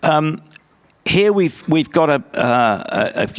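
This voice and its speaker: In a British accent, a man talks with very wide pitch swings. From UK. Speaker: conference panelist. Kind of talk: panel discussion.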